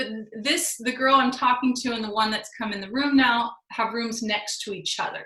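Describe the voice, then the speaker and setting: A woman speaks at a moderate pace with a high pitch and fairly even intonation. Her loudness swings widely. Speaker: spiritual channel host, psychic teacher. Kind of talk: personal storytelling. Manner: casual, conversational; normal speaking level, not loud.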